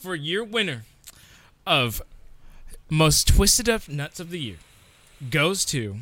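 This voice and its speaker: With vocal fry and a bright, sharp tone, a man talks at a very slow pace, his pitch swinging very widely and his loudness swinging a lot, broken by long, frequent pauses. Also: fairly high pitch for a man. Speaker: awards host. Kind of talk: comedy awards-show host bit. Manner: loud, excitable, mock-pompous, gleefully over the top.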